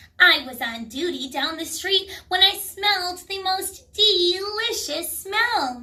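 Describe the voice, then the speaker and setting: A woman puts on a squeaky character voice at an extremely high pitch, with lively intonation and big swings in loudness. She talks at a fairly slow pace with hardly any pauses. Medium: read story.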